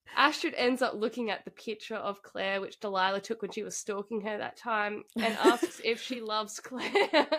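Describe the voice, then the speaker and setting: A woman with a fairly high pitch talks at a moderate pace, with ordinary pitch variation and hardly any pauses. Her loudness swings a lot, and there is noticeable background noise. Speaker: podcast co-host. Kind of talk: casual chat about a book, banter. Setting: video recording, podcast. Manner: animated, playful, laughing.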